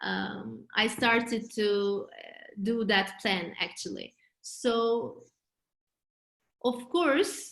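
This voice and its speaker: A woman with a Turkish accent speaks at a very slow pace. Her loudness swings widely, and she takes long, frequent pauses. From Turkey. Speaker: real estate agent. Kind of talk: interview. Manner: halting, many fillers.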